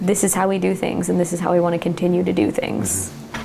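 In an American accent, a woman talks at a very fast pace. Audible room echo and noticeable background noise surround her voice. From US West Coast, California Central Coast. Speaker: winery cellar worker. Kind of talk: oral history interview. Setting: at home.

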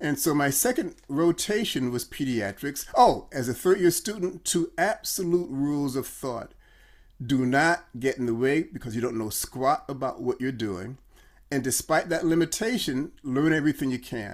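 A man with an American accent speaks in an unremarkable speaking voice, pitched fairly high for a man, at a moderate pace. His intonation is lively, and the recording is very clean with a silent background. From Chicago. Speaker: brand consultant, former doctor. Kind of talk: casual interview.

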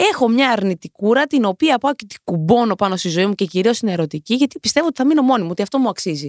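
On a very clean recording with a silent background and a dry, close sound without echo, a woman speaks fairly quickly in an animated tone with very wide pitch swings. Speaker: podcast host. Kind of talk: casual monologue.

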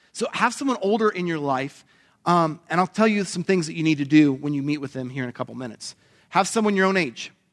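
A man at a fairly high pitch, very fast and lively in intonation, against a quiet background. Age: 40s. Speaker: pastor. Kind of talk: sermon.

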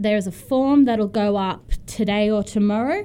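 An ordinary speaking voice from a woman at a fairly slow pace, ordinary pitch variation, very clean recording with a silent background. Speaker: student society volunteer. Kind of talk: casual on-air chat, jokey and flustered. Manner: laughing, sheepish, playful banter.

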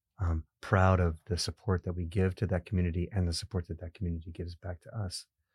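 Very deep, low male voice, very fast with hardly any pauses, flat monotone intonation and a somewhat breathy quality. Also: very clean recording, silent background. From immigrant. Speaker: podcast host and university president. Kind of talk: interview. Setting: studio. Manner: frequent fillers.

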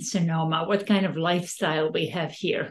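A woman with a Serbian accent, speaking at a fairly slow pace. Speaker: podcast host and real estate advisor. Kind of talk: casual interview chat.

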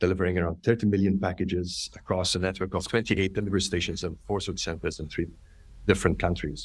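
This man talks with a very deep, low pitch and fairly even intonation. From Malta. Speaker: business executive. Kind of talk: interview. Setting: video call.

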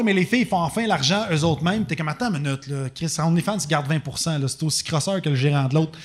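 A man at a very fast pace, lively intonation, on a very clean recording with a silent background. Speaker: comedian and skateboard product maker. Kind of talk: casual chat.

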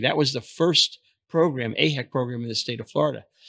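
With an American accent, a man talks at a fairly quick pace in a medium pitch with a bright, sharp tone and ordinary pitch variation, in a very clean recording with a silent background. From New York, Brooklyn. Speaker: retired healthcare executive. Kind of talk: interview. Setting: conference venue.

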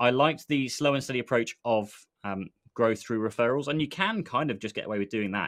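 Very fast speech from a man with an English accent, medium pitch and ordinary pitch variation, against a quiet background. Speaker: podcast co-host, IT business owner. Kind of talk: casual chat, live stream. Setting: live stream video call.

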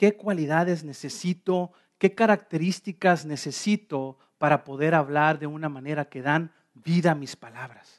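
With a normal speaking voice, a man talks at a fairly slow pace and a fairly high pitch, using ordinary pitch variation and big swings in loudness. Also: dry, close sound with no echo. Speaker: pastor. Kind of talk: sermon.

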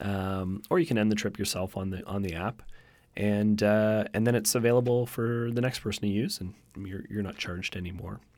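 An ordinary speaking voice from a man with a Canadian accent, fairly low in pitch, with fairly even intonation and a fairly quick pace. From Canada, Victoria BC. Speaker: car-sharing company manager. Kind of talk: interview.

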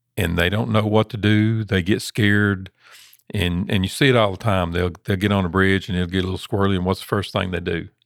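Someone with a Southern US accent talks at a fairly quick pace with fairly even intonation. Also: man, very deep, low pitch for a man. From US South. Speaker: trucking safety director. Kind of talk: casual chat.

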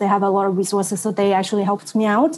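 A woman speaks with a Vietnamese accent. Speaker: doctoral student. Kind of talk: panel discussion.

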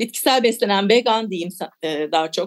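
A woman's unremarkable speaking voice at medium pitch, with lively intonation. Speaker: author. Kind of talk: radio interview.

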